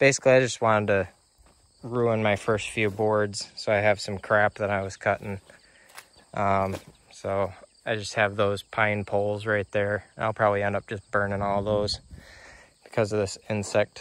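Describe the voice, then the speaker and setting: A man's fairly low voice stays flat and monotone, broken by long, frequent pauses, with a dry sound and no echo. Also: moderate pace. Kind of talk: casual vlog chat. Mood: wry, self-deprecating. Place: garden. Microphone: phone near.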